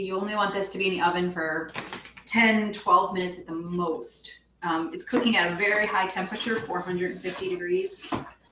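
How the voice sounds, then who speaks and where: A woman's medium-pitched voice at a moderate pace with ordinary pitch variation, in audible room echo. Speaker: fitness coach leading meal prep workshop. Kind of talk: cooking tutorial.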